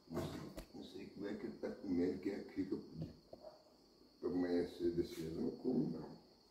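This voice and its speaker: A man at a fairly quick pace, with long, frequent pauses, audible room echo and light background noise. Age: 70s. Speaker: farmer. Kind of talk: casual talk to camera. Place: kitchen. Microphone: phone near.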